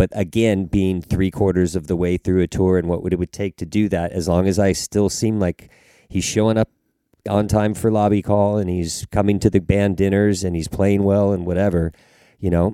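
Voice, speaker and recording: A man with a Southern Californian accent speaks at a very deep, low pitch in a dark, mellow tone. His delivery is monotone and flat at a moderate pace, with a dry, close sound with no echo. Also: very clean recording, silent background. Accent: Southern California American. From Los Angeles, US. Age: 50s. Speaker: touring drummer. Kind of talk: casual interview.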